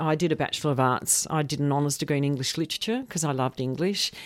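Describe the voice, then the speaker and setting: A woman with an Australian accent speaks in a very deep, low voice with ordinary pitch variation. The recording is very clean, with a silent background. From Australia, Melbourne. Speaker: professor of educational leadership. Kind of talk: radio interview.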